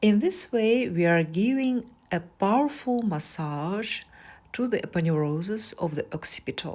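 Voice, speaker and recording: Speech in a non-native accent at a moderate pace, with very wide pitch swings, in a very clean recording with a silent background. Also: woman, medium pitch for a woman. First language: not English. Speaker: massage therapist. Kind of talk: tutorial.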